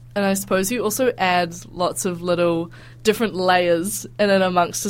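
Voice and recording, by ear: A woman speaks at a moderate pace with fairly low pitch. Her intonation stays fairly even.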